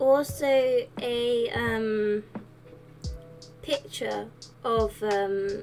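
Music plays behind a woman as she speaks. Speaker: gaming content creator. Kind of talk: casual voice-over commentary. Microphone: studio mic.

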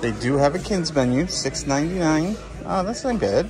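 A man speaks over clear music in the background. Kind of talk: casual vlog chat. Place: cafe. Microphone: phone near.

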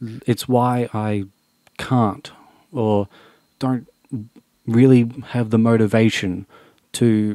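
A man speaks at a medium pitch in a dark, mellow tone. The sound is dry, with no echo. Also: quiet background. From Australia. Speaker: YouTuber. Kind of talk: vlog monologue. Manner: unscripted, earnest. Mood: serious, emotional, frustrated. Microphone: studio mic.

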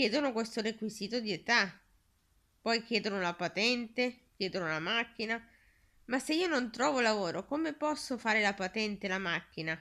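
The voice has a bright, sharp tone, lively intonation and a moderate pace. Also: woman, fairly high pitch for a woman. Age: 30s. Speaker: video blogger. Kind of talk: direct-to-camera appeal. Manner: halting. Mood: earnest, somewhat subdued. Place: home room. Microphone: phone near.

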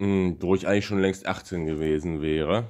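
Here, a man talks at a moderate pace. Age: 20s. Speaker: YouTuber. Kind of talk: vlog monologue. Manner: halting.

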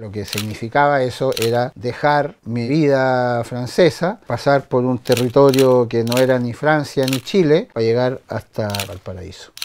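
A man at a medium pitch and fairly slow pace, with hardly any pauses, over light background noise. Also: ordinary pitch variation. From France. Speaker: photographer. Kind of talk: personal storytelling. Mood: reflective, storytelling. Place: home room.

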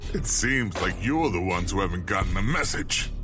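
Someone puts on a character voice at a fairly quick pace. Loud background noise runs underneath. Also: man, fairly low pitch for a man. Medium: audio drama. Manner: cool, defiant.

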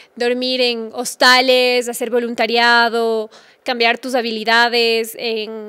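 A woman's high, bright, sharp voice in a monotone, flat delivery. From Ecuador. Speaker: travel blogger; podcast guest, travel blogger. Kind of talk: interview. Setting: studio. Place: studio. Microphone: studio mic.

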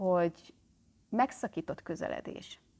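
A woman's voice at medium pitch. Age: 40s. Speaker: therapist and channel host; self-help psychology vlogger. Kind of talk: vlog monologue. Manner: animated. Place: home room. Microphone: phone near.

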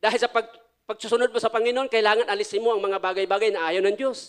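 The voice comes through loud against a quiet background. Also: man. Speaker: pastor. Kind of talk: sermon. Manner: animated. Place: church. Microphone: handheld.

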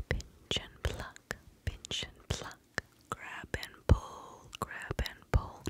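A soft-spoken woman whispers at a very slow pace, her loudness swinging widely. The sound is dry with no echo, over light background noise. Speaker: ASMR creator. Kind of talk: soft ASMR whispered affirmations. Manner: close soft whisper into microphone. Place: home room. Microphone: studio mic.

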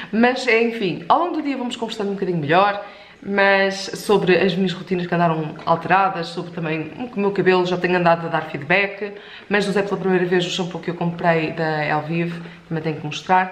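Audible room echo surrounds the speaker. A woman talks at a fairly quick pace with ordinary pitch variation. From Portugal. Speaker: lifestyle vlogger. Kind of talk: casual vlog chat to camera. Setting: at home, kitchen. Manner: chatty, informal. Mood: relaxed, chatty, a bit hot. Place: home room.

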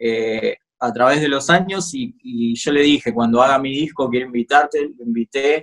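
At a moderate pace, a man speaks with ordinary pitch variation and big swings in loudness over a quiet background. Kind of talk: interview answer. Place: home room. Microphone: phone near.

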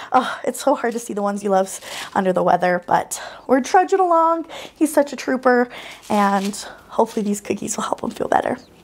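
Her pitch fairly high, a woman talks at a fairly quick pace with very wide pitch swings. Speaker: baking channel host. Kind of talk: baking tutorial. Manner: animated. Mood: warm, cheerful, sympathetic. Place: kitchen. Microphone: lapel.

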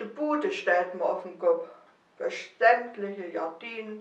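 A woman with a Mansfeld accent at a very slow pace, with ordinary pitch variation, a quiet background and audible room echo. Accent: Mansfeld dialect, central German. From Germany, Mansfeld region (Saxony-Anhalt); Saxony-Anhalt. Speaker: dialect poet. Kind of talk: poetry reading. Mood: calm, warm festive. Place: home room.

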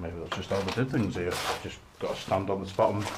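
A man's fairly low voice comes through with noticeable noise in the background. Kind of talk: casual vlog commentary. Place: empty room. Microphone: phone near.

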